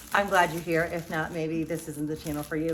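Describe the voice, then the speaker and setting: A woman with a New York accent speaks over noticeable background noise. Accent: fast New York-style speech. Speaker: vlogger. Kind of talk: casual vlog monologue. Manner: fast; chatty, rambling.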